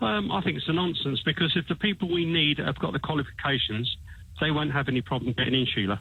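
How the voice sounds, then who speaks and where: A man with an English accent talks at a very fast pace with a fairly high pitch. His intonation is lively and his loudness very even. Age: 60s. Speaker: caller. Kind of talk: phone-in radio call. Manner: halting, many repetitions.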